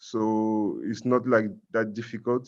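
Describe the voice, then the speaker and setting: With a French accent, a man says his lines. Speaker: Rotaract club member presenting abroad. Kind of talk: online conference presentation and Q&A. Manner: halting.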